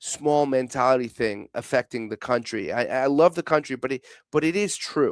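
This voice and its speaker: At a moderate pace with ordinary pitch variation, the speech is a very clean recording with a silent background and a dry, close sound with no echo. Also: man. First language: Portuguese. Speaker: football pundit. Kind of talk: casual chat. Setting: studio. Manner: halting, many false starts.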